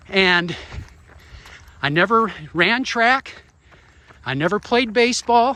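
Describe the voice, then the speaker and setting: Raised and projected, the voice moves at a very slow pace with lively intonation and long, frequent pauses. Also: man, high pitch for a man. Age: 50s. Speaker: vlogger and runner, former military helicopter pilot. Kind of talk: casual vlog while running. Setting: outdoors, walking and running around hometown. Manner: casual, conversational.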